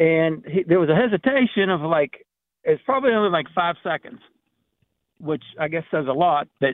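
A man's very fast speech with a western Pennsylvania accent. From Pittsburgh area. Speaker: caller. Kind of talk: radio call-in. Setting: phone call.

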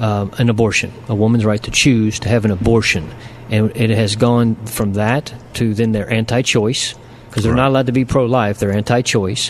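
A man speaks at a moderate pace with a medium pitch and monotone, flat intonation. Noticeable background noise runs behind him. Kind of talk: casual chat.

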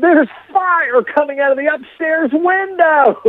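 A shouting, female-sounding put-on character voice at an extremely high pitch. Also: moderate pace. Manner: screaming in panic.

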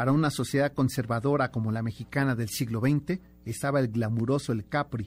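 A man at medium pitch, fairly even intonation and a fairly quick pace, on a very clean recording with a silent background. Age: 50s. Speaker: radio host. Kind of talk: radio show with scripted history narration. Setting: radio studio.

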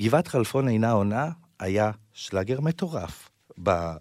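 This man's voice sits fairly low, and his intonation is lively at a moderate pace. The recording is very clean with a silent background. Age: 30s. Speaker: podcast host. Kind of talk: interview conversation.

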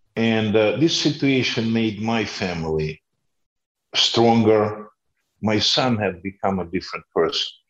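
A fairly low-pitched man with a Russian accent, fairly slow, ordinary pitch variation, quiet background. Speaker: former politician. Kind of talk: interview. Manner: halting.

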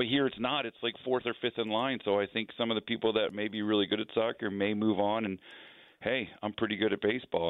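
A man talks at a very fast pace with an American accent. His pitch is fairly low, and his intonation stays fairly even. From New Jersey. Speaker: hockey team general manager. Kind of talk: radio interview.

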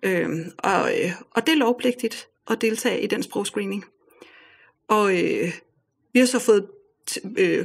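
A woman at a fairly slow pace, with ordinary pitch variation. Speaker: parent of home-schooled children. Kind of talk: interview.

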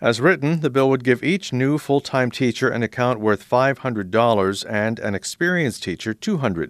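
With an ordinary speaking voice, a man at medium pitch talks at a fairly quick pace with hardly any pauses and big swings in loudness, recorded dry and close with no echo. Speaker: radio news host. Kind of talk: news reading. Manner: formal.

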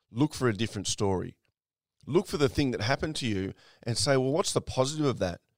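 Very fast speech with lively intonation, dry and close with no echo, on a very clean recording with a silent background. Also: man, medium pitch for a man. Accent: Australian. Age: 50s. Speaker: podcast host and mindset mentor. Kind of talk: motivational monologue.

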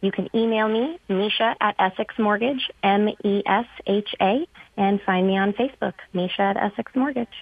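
A woman speaks with an American accent at a medium pitch, in a plain, everyday voice. Her pace is fairly slow and her pitch varies in an ordinary way. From California. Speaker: real estate agent. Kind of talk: casual chat. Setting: phone call.

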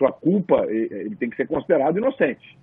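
A man talks at a fairly quick pace in a normal speaking voice with lively intonation. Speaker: sports commentator. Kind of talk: casual panel discussion.

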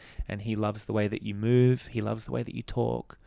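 A man with an Australian accent. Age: 30s. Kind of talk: personal testimony in interview.

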